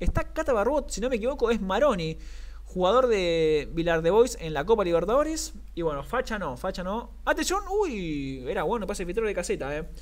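With a Rioplatense accent, a man talks at a high pitch that swings very widely. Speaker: sports commentator. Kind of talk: live commentary. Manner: animated, rapid-fire play-by-play; excitable, shouts at near-misses.

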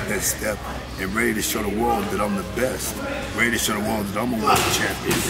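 Background music under a man's speech. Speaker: boxing coach. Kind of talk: interview answer. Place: gym. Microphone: phone near.

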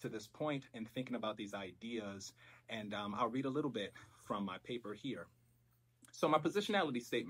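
A man speaks at a fairly quick pace. His pitch varies in an ordinary way. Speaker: presenter. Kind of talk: academic presentation. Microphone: camera far.

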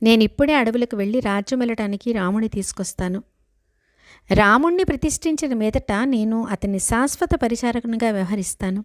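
An ordinary speaking voice from a woman, fairly high in pitch with ordinary pitch variation, in a very clean recording with a silent background and a dry, close sound with no echo. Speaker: devotional storyteller. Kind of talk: scripture storytelling. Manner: paused phrasing.

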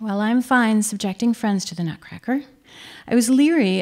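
The background is quiet and the pace is moderate. Pitch variation is ordinary. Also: woman. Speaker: essay reader at a live show. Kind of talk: humorous personal essay reading. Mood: wry, dry humor. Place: stage. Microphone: podium.

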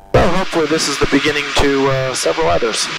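Amid noticeable background noise, a man speaks fairly quickly with ordinary pitch variation and a dry sound with no echo. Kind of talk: casual vlog chat. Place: plane. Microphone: headset.

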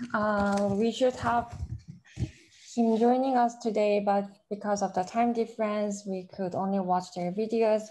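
A woman speaks in a Korean accent with a dark, mellow tone. Her pace is fairly slow, and her pitch variation is ordinary. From South Korea. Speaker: conference moderator. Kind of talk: moderating a conference. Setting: video call. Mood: friendly, calm. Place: office. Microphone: webcam.

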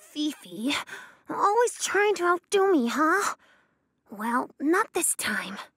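In a cartoonish character voice, a female-sounding woman speaks at an extremely high pitch with very wide pitch swings. Her pace is fairly slow, broken by long, frequent pauses. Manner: sugary, competitive.

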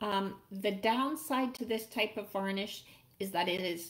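At a rather unhurried tempo, a woman delivers her words. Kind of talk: tutorial. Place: home room. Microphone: webcam.

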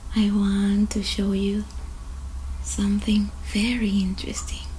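A woman at a very slow pace over light background noise. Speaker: ASMR creator. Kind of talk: soft-spoken show-and-tell vlog. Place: home room. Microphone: earbuds.

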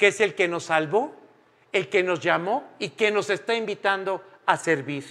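This man has a high-pitched voice. He talks at a fairly slow pace. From Mexico. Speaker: preacher. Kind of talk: sermon. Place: church.

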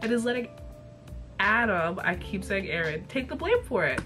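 Music in the background behind a woman's medium-pitched voice, with ordinary pitch variation and a moderate pace. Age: 20s. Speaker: TV and cartoon reviewer. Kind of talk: casual talk to camera. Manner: casual, profane.

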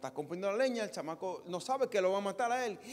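The male voice races along. Words come out very fast. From Dominican Republic. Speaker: pastor. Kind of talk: sermon. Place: church. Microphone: handheld.

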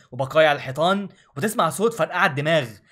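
In an animated tone and with an Egyptian accent, a man speaks at a moderate pace with a fairly high pitch and ordinary pitch variation, on a very clean recording with a silent background. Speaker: gaming YouTuber. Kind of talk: game review vlog.

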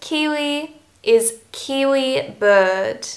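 With an Australian accent, a woman speaks in a fairly high pitch against a quiet background. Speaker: English teacher, YouTuber. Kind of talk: scripted educational talk to camera. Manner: clear, measured delivery for learners. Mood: friendly, cheerful.

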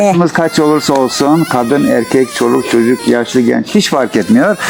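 Music plays in the background. The speaker keeps a moderate pace. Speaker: field reporter. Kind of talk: casual talk to camera. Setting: outdoors.

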